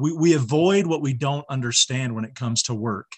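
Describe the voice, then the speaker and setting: A man with a somewhat breathy voice talks at a fairly quick pace, using a medium pitch and ordinary pitch variation. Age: 40s. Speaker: social worker and mentor. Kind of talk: casual chat.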